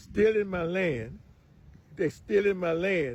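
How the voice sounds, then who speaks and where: A man with an American accent. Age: 80s+. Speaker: farmer. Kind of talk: testimony.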